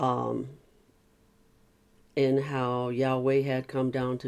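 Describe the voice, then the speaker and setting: Very slowly, a man with a medium pitch speaks in a flat monotone. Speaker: channel host reading and discussing a book. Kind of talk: reading aloud with commentary.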